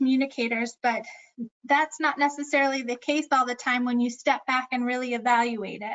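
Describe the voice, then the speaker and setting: A woman talks at a moderate pace with fairly even intonation. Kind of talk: presentation.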